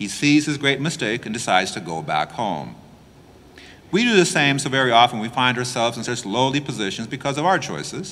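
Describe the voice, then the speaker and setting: Very wide pitch swings and vocal fry mark this bright, sharp voice, which moves at a fairly quick pace. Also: man. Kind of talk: homily preaching. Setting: church. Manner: explanatory, emphatic, earnest; plain-spoken, conversational. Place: church.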